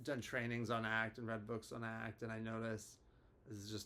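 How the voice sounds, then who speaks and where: His intonation stays monotone and flat. The man's voice sits at a medium pitch. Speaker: therapist. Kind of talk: casual educational talk to camera. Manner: hesitant, many filler words.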